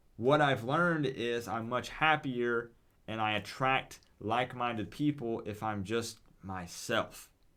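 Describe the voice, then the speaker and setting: A man with a Southern US accent, medium pitch, a bright, sharp tone, ordinary pitch variation and a very slow pace, on a very clean recording with a silent background. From US South, East Tennessee. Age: 20s. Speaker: gaming streamer. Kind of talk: live stream chat. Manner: animated.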